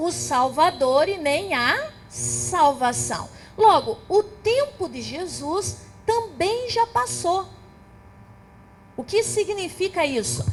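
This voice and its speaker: A woman speaks at a very slow pace with long, frequent pauses as music plays in the background. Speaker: theologian. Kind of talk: lecture.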